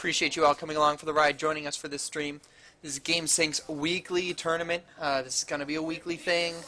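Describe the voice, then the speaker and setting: A man's fairly high voice, monotone and flat, at a very fast pace with big swings in loudness and noticeable background noise. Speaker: esports caster. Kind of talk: casual chat; live commentary. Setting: LAN center, adjacent room to players. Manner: lowers voice at times.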